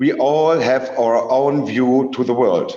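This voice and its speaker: Someone speaks at a fairly slow pace with a German accent. Room echo is audible. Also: man. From Germany. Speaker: researcher. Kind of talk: lecture. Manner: halting.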